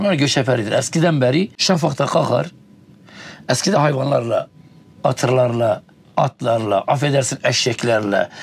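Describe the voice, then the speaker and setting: At a moderate pace, a man talks at medium pitch with ordinary pitch variation, his voice somewhat breathy and his loudness very even. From Tunceli, eastern Turkey. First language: Kurdish (speaking Turkish). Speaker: nomadic livestock herder. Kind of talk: interview. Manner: halting.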